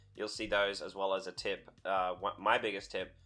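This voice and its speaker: A bright, sharp tone comes through with an Australian accent. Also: man. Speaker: gaming youtuber and streamer. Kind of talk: video game guide. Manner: casual.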